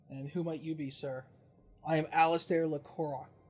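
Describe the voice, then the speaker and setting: In a put-on character voice, a man speaks at a moderate pace, fairly high in pitch and flat, monotone in delivery. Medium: actual play. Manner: formal, melancholy.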